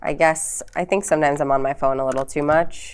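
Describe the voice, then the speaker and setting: A woman speaks with a New York accent. Her pace is fairly quick. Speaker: comedian and podcaster. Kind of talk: casual chat.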